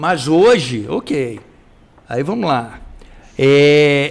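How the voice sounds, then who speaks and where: This man's voice sits at a fairly high pitch. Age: 60s. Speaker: journalist and web show co-host. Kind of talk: casual chat. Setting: live stream. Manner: animated.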